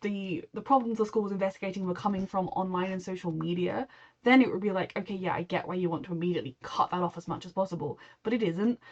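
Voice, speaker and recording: Ordinary pitch variation with a British accent. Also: woman. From Britain. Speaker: TV reaction YouTuber. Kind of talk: casual reaction commentary.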